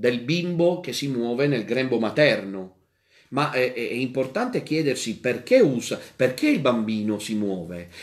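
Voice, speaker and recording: A man's medium-pitched voice at a fairly slow pace, with ordinary pitch variation and audible room echo. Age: 40s. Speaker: priest. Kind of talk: catechesis lecture. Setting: radio and TV broadcast.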